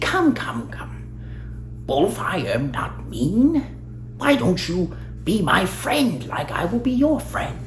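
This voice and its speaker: A man speaks in a put-on character voice at a fairly slow pace, with long, frequent pauses. Background noise is clearly audible. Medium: read story. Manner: formal, gracious.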